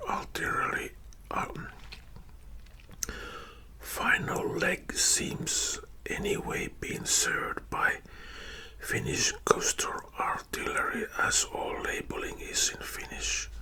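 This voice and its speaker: A man whispers at a very slow pace with long, frequent pauses and noticeable background noise. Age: old. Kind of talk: ASMR storytelling. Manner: whispered, soft-spoken.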